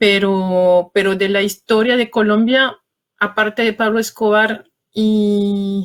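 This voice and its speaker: In a French accent, a woman speaks at a very slow pace and medium pitch with monotone, flat intonation and very even loudness. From France. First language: French (speaking Spanish). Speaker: journalist and author. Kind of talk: interview. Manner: halting.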